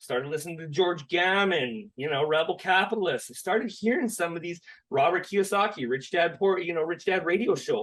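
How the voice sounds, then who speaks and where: This speaker has a Canadian accent and an animated tone. The intonation is lively, the pace fairly quick, with hardly any pauses. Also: man, high pitch for a man. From Canada (Saskatchewan). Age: 30s. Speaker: crypto education specialist, former oil and gas worker. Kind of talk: podcast interview.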